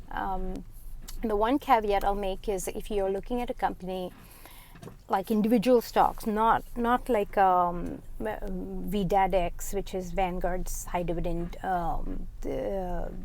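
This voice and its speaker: A woman speaks at a very slow pace in a medium pitch. Her intonation stays fairly even. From India. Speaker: finance vlogger. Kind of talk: casual monologue. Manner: halting.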